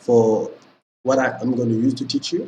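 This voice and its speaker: This man's voice sits at a medium pitch with a dark, mellow tone and some breathiness, moving at a moderate pace with ordinary pitch variation. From Senegal. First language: Pulaar (Fula). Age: 20s. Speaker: language teacher. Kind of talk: tutorial. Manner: casual, filler-heavy (okay, you know).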